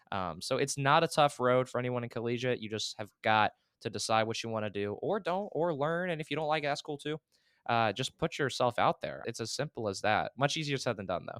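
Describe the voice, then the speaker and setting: An energetic man at medium pitch with lively intonation, recorded very cleanly against a silent background in a dry, close sound with no echo. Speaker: esports caster and program director. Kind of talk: interview. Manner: loud, energetic.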